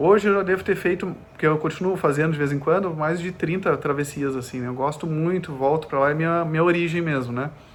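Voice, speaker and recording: With hardly any pauses, a man speaks in fairly even intonation. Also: fairly quick pace. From southern Brazil (Gravataí, Porto Alegre area), partly Germany. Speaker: ultramarathon runner. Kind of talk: podcast interview. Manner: halting, many fillers.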